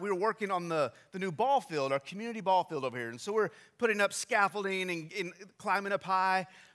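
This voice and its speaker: Very fast and raised, projected, a man's high-pitched voice has a bright, sharp tone and ordinary pitch variation in a very clean recording with a silent background. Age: 30s. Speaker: pastor. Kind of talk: sermon. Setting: church. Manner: halting.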